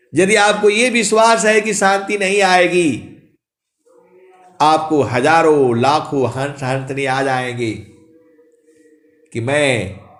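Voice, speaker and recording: A man's voice with very wide pitch swings and long, frequent pauses, amid audible room echo. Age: 60s. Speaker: spiritual preacher. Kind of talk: sermon. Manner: animated.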